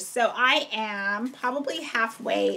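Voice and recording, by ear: This is a put-on character voice, raspy and croaky. It moves at a fairly slow pace with ordinary pitch variation. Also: woman, high pitch for a woman.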